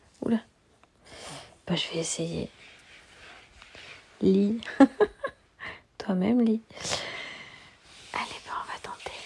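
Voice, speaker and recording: The speech is very slow, with long, frequent pauses and noticeable background noise. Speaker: ASMR streamer. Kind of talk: reading aloud. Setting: live stream. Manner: whispering.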